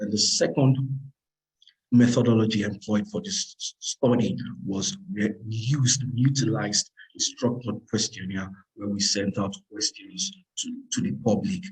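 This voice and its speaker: This man talks at a fairly slow pace with a medium pitch, somewhat breathy and with lively intonation. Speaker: lead researcher presenting a report. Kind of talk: webinar presentation. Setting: online webinar with interpreter.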